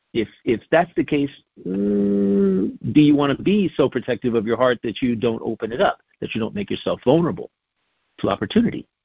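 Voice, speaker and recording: With a plain, everyday voice, a man speaks at a moderate pace and medium pitch, his intonation lively. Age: 60s. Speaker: wellness guest. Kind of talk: casual chat.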